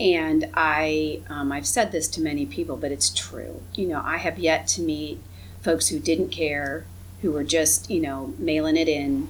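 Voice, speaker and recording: Very deep, low-pitched woman with a Midwestern American accent, very wide pitch swings, fairly slow pace, and noticeable background noise. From northwest Ohio (Findlay). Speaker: government executive. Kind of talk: casual chat.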